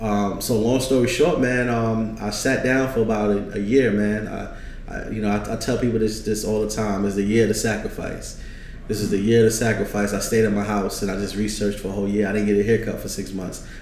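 A man with a New York accent speaks in a fairly low, monotone, flat voice, with audible room echo and noticeable background noise. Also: fairly quick pace. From New York, Brooklyn. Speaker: trucking business owner and consultant. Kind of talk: casual interview.

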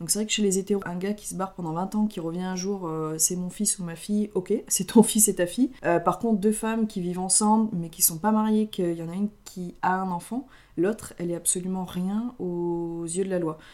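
Using a dark, mellow tone, a woman speaks at a moderate pace with fairly even intonation. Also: medium pitch for a woman. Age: 20s. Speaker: podcast co-host. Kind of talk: casual chat.

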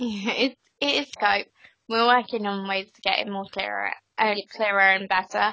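A woman with an unremarkable speaking voice talks at medium pitch and a moderate pace. Her intonation is fairly even, but her loudness swings widely. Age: 20s. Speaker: podcast co-host, betting editor. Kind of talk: casual chat. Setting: Skype call.

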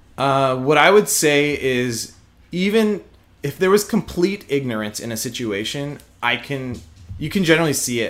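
Swinging very widely in pitch, the man talks at a moderate pace on a very clean recording with a silent background. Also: fairly high pitch for a man. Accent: slight Texan. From Houston, Texas. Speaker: prosecutor. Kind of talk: casual interview conversation.

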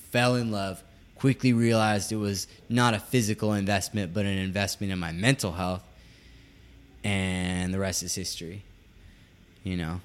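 A man with a plain, everyday voice talks at a moderate pace, his pitch fairly low with ordinary variation. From West Virginia / California (moved back and forth). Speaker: yoga teacher and podcast co-host. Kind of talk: casual chat.

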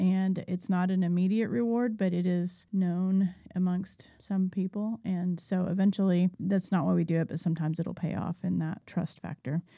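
A woman with an unremarkable speaking voice talks at a medium pitch and a moderate pace. Her intonation is fairly even, and she hardly pauses. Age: 40s. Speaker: podcast co-host and business owner. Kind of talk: casual chat. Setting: studio.

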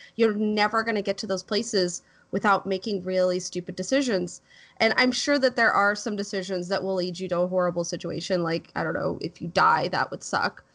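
A woman with an unremarkable speaking voice, medium pitch and ordinary pitch variation at a fairly quick pace, over a quiet background. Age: 30s. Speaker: film podcast panelist. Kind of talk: casual film review discussion.

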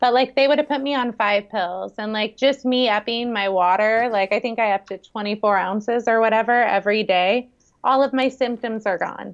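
In an American accent, a woman speaks at a fairly high pitch with fairly even intonation. She keeps a moderate pace with hardly any pauses. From US West Coast, San Francisco Bay Area. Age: 40s. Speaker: chef and health coach. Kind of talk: casual interview. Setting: call.

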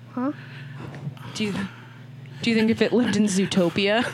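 Against noticeable background noise, a woman with a medium pitch talks at a fairly quick pace. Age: 20s. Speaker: podcast co-host. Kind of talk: casual chat.

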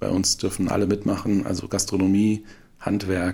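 A man talks in a fairly low voice that is somewhat breathy. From Saarland, Germany. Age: 40s. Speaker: startup co-founder. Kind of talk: interview. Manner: filler-heavy, hesitant.

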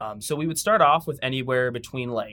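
A man speaks with an American accent. He has an ordinary speaking voice at medium pitch. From Washington State, US (Tacoma). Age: 30s. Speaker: professional wrestler and wrestling coach. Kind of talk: casual interview. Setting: studio.

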